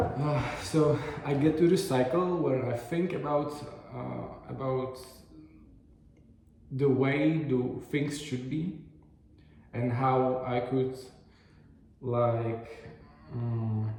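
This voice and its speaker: A man speaks very slowly in a somewhat breathy, medium-pitched voice with a non-native accent and ordinary pitch variation. Long, frequent pauses break his speech, and room echo is audible. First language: not English. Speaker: video diary vlogger. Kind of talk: casual video diary monologue. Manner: halting, many fillers and restarts.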